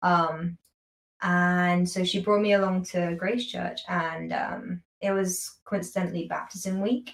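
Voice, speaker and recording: A woman speaks in a London accent at a fairly slow pace. Her medium-pitched voice is somewhat breathy, with fairly even intonation. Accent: London British. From London, England. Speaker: university student. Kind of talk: casual interview chat.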